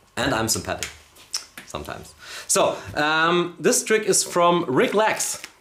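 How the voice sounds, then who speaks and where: Noticeable background noise sits behind a man with a Bavarian accent and a high pitch. He speaks at a fairly slow pace with very wide pitch swings. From Bavaria, Germany. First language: German. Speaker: magician, live stream co-host. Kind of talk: casual chat. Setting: studio live stream. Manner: halting.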